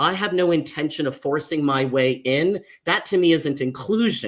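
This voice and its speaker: A man with an American accent and a normal speaking voice talks at a moderate pace and fairly high pitch, on a very clean recording with a silent background. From US, Mexican American family. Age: 50s. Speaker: social worker and author. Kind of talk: panel discussion. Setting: livestream panel.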